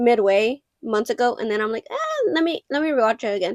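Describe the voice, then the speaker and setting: A woman speaks with a Mexican accent. Her high pitch shows ordinary variation. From Mexico. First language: Spanish. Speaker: film collector vlogger. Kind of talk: casual vlog show-and-tell. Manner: casual, filler-heavy.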